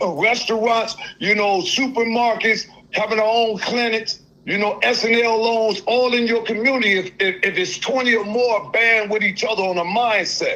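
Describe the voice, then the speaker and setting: A man's raised, projected voice, high-pitched, with fairly even intonation, very even loudness and a moderate pace, over noticeable background noise. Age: 60s. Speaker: caller. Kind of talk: call-in conversation. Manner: halting.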